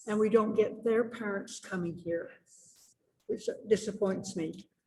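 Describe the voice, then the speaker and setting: Somewhat breathy, dark, mellow tones from a woman with a fairly high pitch, fairly even intonation and a fairly slow pace. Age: 90s. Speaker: church member on panel. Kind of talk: panel interview.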